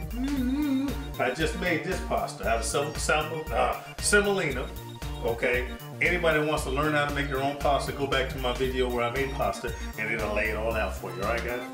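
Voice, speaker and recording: With clear music in the background, a man speaks at a fairly quick pace. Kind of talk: casual cooking tutorial. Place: kitchen. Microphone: camera far.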